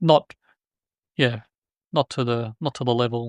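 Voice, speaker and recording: A man with an Australian accent at a medium pitch, very clean and silent behind him, the sound dry and close with no echo. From Australia, New South Wales. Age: 50s. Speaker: joinery software businessman. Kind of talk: casual podcast interview. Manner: halting, many fillers.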